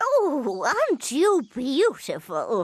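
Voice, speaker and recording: A woman performs a cartoonish character voice. Her pitch is high. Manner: brisk, spirited.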